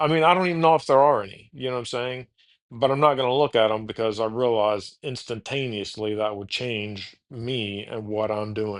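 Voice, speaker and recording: Moderate-paced speech from a man in an American accent, medium in pitch with ordinary pitch variation. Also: quiet background. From Texas (Houston, Austin). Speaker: podcast host. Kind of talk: casual chat. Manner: halting, many false starts.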